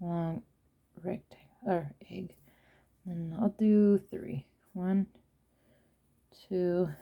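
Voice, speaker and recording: A woman with a somewhat breathy, dark, mellow tone speaks at a very slow pace with long, frequent pauses and big swings in loudness, in a dry, close sound with no echo. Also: medium pitch for a woman, ordinary pitch variation. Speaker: watercolour art tutor. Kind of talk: tutorial. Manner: casual, thinking aloud.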